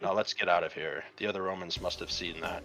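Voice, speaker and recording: This is a raspy, put-on character voice delivered at a very fast pace. Music plays clearly in the background. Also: man, very deep, low pitch for a man. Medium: read story. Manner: calm, confident.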